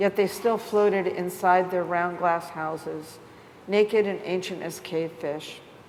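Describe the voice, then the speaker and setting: A woman speaks fairly slowly at a medium pitch. Her pitch varies an ordinary amount over noticeable background noise. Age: 60s. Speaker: artist and writer. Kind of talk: reading aloud.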